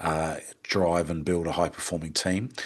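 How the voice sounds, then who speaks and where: A man with an Australian accent speaks at a moderate pace. His pitch is very deep and low, and the background is quiet. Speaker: hospitality business consultant. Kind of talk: webinar presentation. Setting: online webinar with screen share. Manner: hesitant, many fillers.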